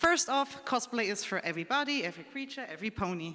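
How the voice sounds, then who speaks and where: Speaking at a very fast pace with a German accent, a woman uses a raised, projected voice with a bright, sharp tone and very wide pitch swings. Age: 20s. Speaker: cosplayer panelist. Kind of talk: convention panel talk.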